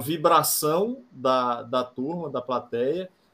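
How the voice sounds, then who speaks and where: A fairly high-pitched man's voice, bright and sharp in tone, at a very slow pace. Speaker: rock band musician. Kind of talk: casual interview.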